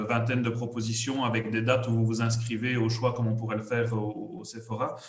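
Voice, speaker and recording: With a Liège accent, a man speaks at a medium pitch and moderate pace with fairly even intonation, amid noticeable background noise and audible room echo. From Belgium, Liège area. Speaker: HR services company representative. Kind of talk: business presentation.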